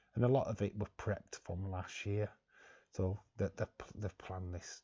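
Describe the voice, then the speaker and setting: Speaking at a fairly slow pace, a man with a fairly low pitch sounds somewhat breathy, his intonation monotone and flat. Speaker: wrestling streamer. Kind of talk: live watch-along commentary. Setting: live stream. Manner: casual, halting.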